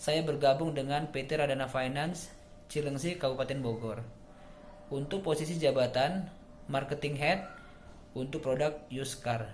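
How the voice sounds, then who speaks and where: Amid noticeable background noise and audible room echo, a man with a fairly high voice speaks at a moderate pace with fairly even intonation and long, frequent pauses. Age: 30s. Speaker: job applicant, marketing manager. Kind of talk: self-introduction video. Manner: formal.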